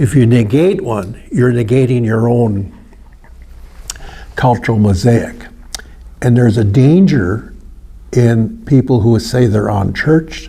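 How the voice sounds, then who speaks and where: With an American accent and a medium-pitched voice, a man speaks fairly slowly with long, frequent pauses and ordinary pitch variation, amid noticeable background noise and audible room echo. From northern Wisconsin, Ojibwe community. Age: 70s. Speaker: seminary student. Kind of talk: presentation. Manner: halting.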